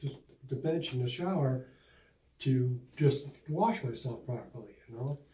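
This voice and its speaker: Speaking at a fairly slow pace with long, frequent pauses, a man with an American accent uses ordinary pitch variation, a medium pitch, a somewhat breathy voice and a dark, mellow tone. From Buffalo, New York. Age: 60s. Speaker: patient. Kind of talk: testimonial interview. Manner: halting.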